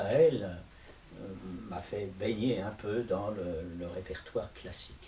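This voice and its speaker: With noticeable background noise behind him, a man speaks at a fairly slow pace and a fairly low pitch. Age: 80s+. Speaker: stage actor and puppeteer. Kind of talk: interview. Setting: video interview. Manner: halting.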